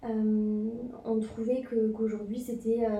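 In audible room echo, a woman speaks at a fairly high pitch with a dark, mellow tone. Her intonation is monotone and flat, and her voice somewhat breathy. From France, Toulouse. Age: 20s. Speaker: boutique co-founder. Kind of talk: interview.

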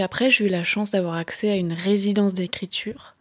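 Her pitch medium, a woman speaks with fairly even intonation. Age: 30s. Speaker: novelist. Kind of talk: personal testimony. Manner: halting.

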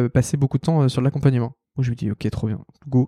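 A dark, mellow tone with fairly even intonation at a fairly quick pace, on a very clean recording with a silent background. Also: man. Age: 20s. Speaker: head of design at a startup. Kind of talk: casual interview.

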